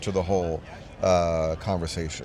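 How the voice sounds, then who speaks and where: A man's calm tone. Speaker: coaching client. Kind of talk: interview.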